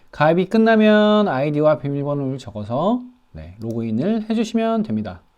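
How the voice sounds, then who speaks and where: A man's fairly high voice at a moderate pace, very wide pitch swings, quiet background. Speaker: online business instructor. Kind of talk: tutorial. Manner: hesitant, many fillers.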